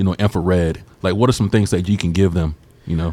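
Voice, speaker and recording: A man speaks with a Southern US accent. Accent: Southern, noticeable. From Georgia. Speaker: podcast host. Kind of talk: casual interview.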